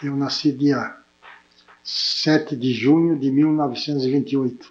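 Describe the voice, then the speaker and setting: With monotone, flat intonation, a man speaks at a fairly slow pace and a fairly high pitch. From Brazil, interior of São Paulo state (Santa Adélia). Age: 70s. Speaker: town pioneer, interviewee. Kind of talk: oral history interview. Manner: halting, with repetitions.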